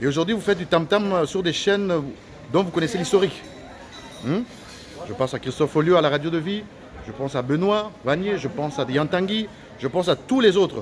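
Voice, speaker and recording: A man with a Congolese accent speaks in a high voice at a fairly quick pace, with lively intonation and long, frequent pauses. Noticeable background noise and audible room echo surround him. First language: Lingala (speaking French). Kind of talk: angry video rant. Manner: halting, many repetitions.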